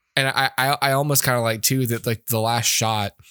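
A man at a moderate pace and medium pitch with fairly even intonation, the sound dry and close with no echo in a very clean recording with a silent background. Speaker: podcast host, movie reviewer. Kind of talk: casual chat, movie review podcast.

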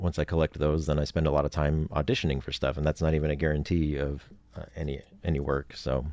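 With an American accent, a man with a very deep, low voice talks at a very fast pace in a monotone, flat intonation with vocal fry. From Oregon, US. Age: 40s. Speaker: voice actor. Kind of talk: casual interview chat. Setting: home closet studio.

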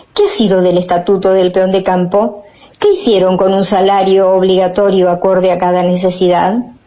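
At a moderate pace, a woman speaks in a flat monotone at a medium pitch and very even loudness, with noticeable background noise. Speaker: radio host and poetry reader. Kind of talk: poetry reading, spoken word with a solemn, declamatory delivery after a casual intro. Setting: radio show.

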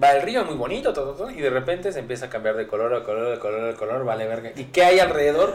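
A man speaks with a Mexican accent. His pace is very fast. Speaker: podcast co-host. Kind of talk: casual chat. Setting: studio.

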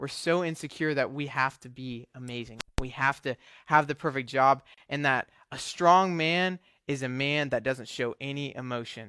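A man speaks with a plain, everyday voice at a fairly high pitch and moderate pace. His intonation is fairly even, his loudness swings widely, and the recording is very clean with a silent background. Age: young. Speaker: young adult ministry intern. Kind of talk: sermon. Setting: church service with audience. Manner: casual, with filler words.

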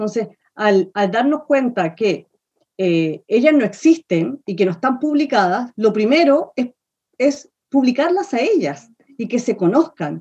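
At a fairly slow pace, a woman with a fairly high pitch and a dark, mellow tone makes very wide pitch swings. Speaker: theatre researcher and author. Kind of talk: casual interview chat.

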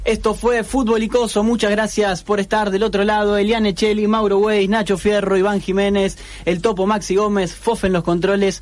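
In an Argentine accent, a man speaks at a moderate pace with a high pitch, monotone, flat intonation and very even loudness. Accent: Rioplatense Argentine Spanish. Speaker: radio co-host. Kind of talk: casual chat.

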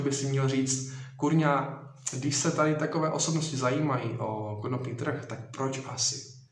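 Amid noticeable background noise and audible room echo, a man with a medium pitch talks at a moderate pace with fairly even intonation. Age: 20s. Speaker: social media influencer. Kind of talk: live Q&A stream.

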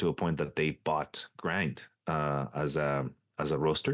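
A man speaks in a very deep, low pitch with vocal fry at a moderate pace. The sound is dry and close with no echo, over a quiet background. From Mexico. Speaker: coffee consultant. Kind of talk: casual interview chat.

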